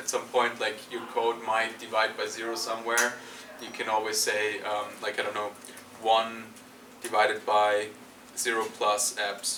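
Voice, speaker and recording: Amid noticeable background noise and audible room echo, a man with a non-native accent speaks fairly slowly at a medium pitch. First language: not English. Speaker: university lecturer. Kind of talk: lecture. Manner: halting, many fillers.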